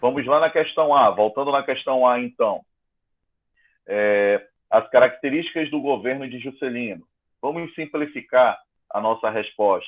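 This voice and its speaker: Here a man talks at a fairly slow pace. His pitch is medium, with ordinary variation. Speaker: school teacher. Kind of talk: online class lesson.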